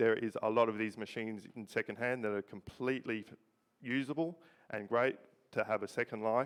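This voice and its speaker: Here a man speaks with an Australian accent. His pitch is medium and his intonation fairly even. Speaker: robotics researcher. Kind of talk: presentation. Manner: halting.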